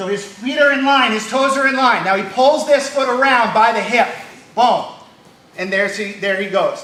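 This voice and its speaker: A raised, projected voice carries ordinary pitch variation. Audible room echo and noticeable background noise surround it. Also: man, extremely high pitch for a man, moderate pace. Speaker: judo instructor. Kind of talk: martial arts class instruction. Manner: loud.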